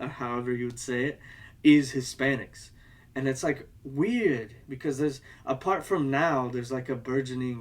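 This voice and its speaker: In an unremarkable speaking voice, a man at a medium pitch talks at a moderate pace with fairly even intonation. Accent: American. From United States. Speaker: video essayist. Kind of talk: casual video essay monologue. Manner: rambling, many fillers.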